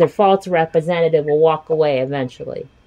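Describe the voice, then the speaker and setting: Noticeable background noise sits behind a woman's voice. She talks at a fairly quick pace with lively intonation. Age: 40s. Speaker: podcast host. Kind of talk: casual chat. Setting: video call. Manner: animated.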